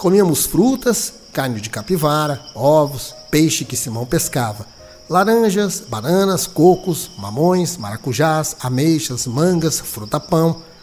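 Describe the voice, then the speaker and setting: Against background music, a man speaks very slowly at a fairly high pitch, his voice making very wide pitch swings. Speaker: radio announcer and journalist. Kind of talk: dramatized audiobook reading.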